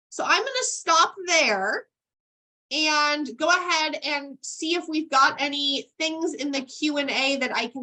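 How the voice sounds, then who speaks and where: A woman projects a raised voice, pitched high, with a bright, sharp tone and ordinary pitch variation. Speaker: estate planning attorney. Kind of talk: webinar presentation.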